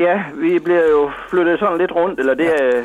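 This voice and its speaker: The pace is fairly slow, with ordinary pitch variation. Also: man. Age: 60s. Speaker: missionary. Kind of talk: radio interview. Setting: phone call. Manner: halting.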